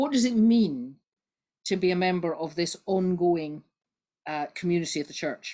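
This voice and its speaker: A woman speaks with a Scottish accent at a fairly low pitch. The background is quiet. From Scotland. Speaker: Baptist minister and church history lecturer. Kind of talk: online lecture. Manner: fast.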